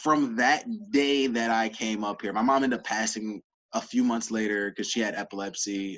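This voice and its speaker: Fairly even intonation in a man's voice pitched mid-range. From US South (Georgia), moved to Illinois at ten. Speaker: entrepreneur, sales coach. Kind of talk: podcast interview.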